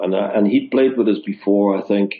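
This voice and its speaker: This man has a Dutch accent. He talks at a moderate pace. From Netherlands, near German border. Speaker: touring musician and stage manager. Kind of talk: interview storytelling.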